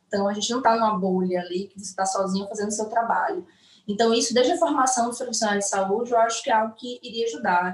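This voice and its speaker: Talking very fast at a fairly high pitch, a woman uses ordinary pitch variation while her loudness swings widely over noticeable background noise. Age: 30s. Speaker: nurse. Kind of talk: online live interview. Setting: online live stream.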